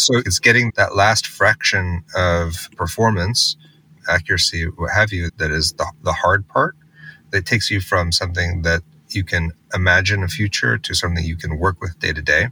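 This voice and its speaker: A man with an American accent, at a moderate pace, in a dry, close sound with no echo. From US Northeast, Massachusetts. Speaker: tech company co-founder and CTO. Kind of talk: interview.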